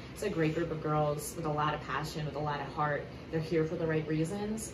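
A woman with a very deep, low pitch speaks at a moderate pace in monotone, flat intonation, with noticeable background noise and audible room echo. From Maryland. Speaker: college lacrosse coach. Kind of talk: interview.

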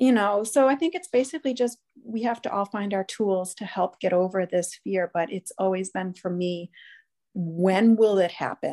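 A woman with an ordinary speaking voice talks at a medium pitch with ordinary pitch variation, the sound dry and close with no echo against a quiet background. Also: moderate pace. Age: 50s. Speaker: podcast guest, parent with emetophobia. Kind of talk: casual interview chat. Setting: remote call.

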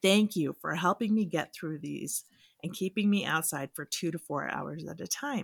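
With vocal fry and lively intonation, a woman talks at a moderate pace in a fairly low pitch. The sound is dry and close, with no echo. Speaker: podcast host. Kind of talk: casual chat.

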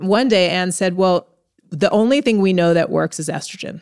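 In a New York accent, a woman speaks at a moderate pace and medium pitch with ordinary pitch variation, on a very clean recording with a silent background and a dry, close sound with no echo. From New York City. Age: 40s. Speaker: entrepreneur. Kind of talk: interview.

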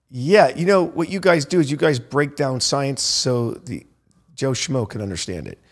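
The speaker uses a normal speaking voice with an American accent at a moderate pace. Loudness swings widely on a very clean recording with a silent background. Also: man, fairly high pitch for a man. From US South, Naples, Florida. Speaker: hospitality entrepreneur. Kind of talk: casual interview chat.

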